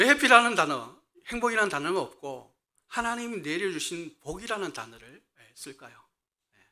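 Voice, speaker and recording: A man's raised, projected voice sits high in pitch with very wide pitch swings. His loudness swings widely at a moderate pace. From Daegu, South Korea (Gyeongsang). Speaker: associate pastor. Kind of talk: sermon. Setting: church. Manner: frequent fillers (예, 에).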